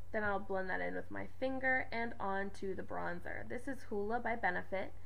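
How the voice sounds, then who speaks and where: A woman speaks with noticeable background noise. Audible room echo surrounds her voice. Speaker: beauty vlogger. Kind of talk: tutorial. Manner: fast.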